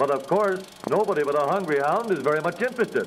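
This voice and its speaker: Fairly quick male speech over noticeable background noise. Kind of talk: vintage newsreel ad narration. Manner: upbeat.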